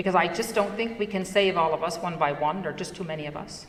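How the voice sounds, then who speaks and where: With a Newfoundland accent, a woman speaks at a fairly quick pace in a fairly low pitch with ordinary pitch variation. Audible room echo surrounds the recording. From Newfoundland, Canada (Fogo Island). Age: 60s. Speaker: entrepreneur and conference speaker. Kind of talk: conference talk.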